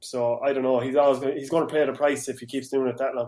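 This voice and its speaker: A man with an Irish accent, fairly high in pitch. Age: 30s. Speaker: hurling pundit and club player. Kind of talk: casual sports chat.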